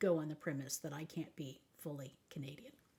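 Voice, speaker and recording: A woman speaks with an American accent. Her fairly low voice is somewhat breathy. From Texas. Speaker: life coach. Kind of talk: advice talk.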